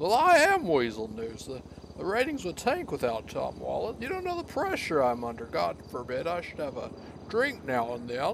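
A man puts on a gruff character voice at a moderate pace. Background noise is clearly audible. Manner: defensive, gruff, profane.

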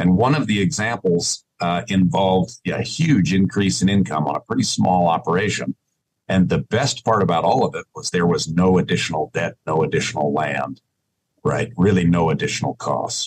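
A man's very deep, low voice with vocal fry and very wide pitch swings, at a moderate pace, dry and close with no echo. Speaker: ranching business advisor. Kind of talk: casual interview.

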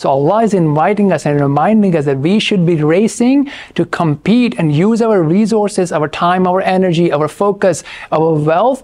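Moderate pace from a man with a high voice. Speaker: presenter. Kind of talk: lecture. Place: studio. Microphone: lapel.

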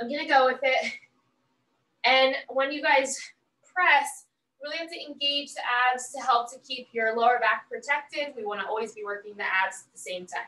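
A woman uses a raised, projected voice with a bright, sharp tone, big swings in loudness, and long, frequent pauses, with audible room echo. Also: moderate pace. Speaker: fitness instructor. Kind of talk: workout class instruction. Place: home room. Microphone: camera far.

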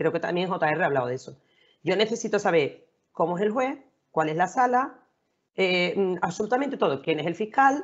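Swinging very widely in pitch, a woman talks from a medium pitch. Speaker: lawyer, panel regular. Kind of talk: casual panel discussion. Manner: fast.

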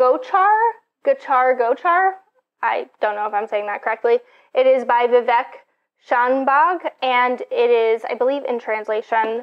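Against a quiet background, a woman speaks with a high pitch. She keeps a fairly slow pace. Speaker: book vlogger. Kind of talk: casual vlog chat. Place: home room. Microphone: lapel.

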